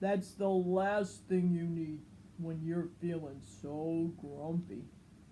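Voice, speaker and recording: A woman's put-on character voice, fairly low in pitch and very slow, over clear background noise. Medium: read story.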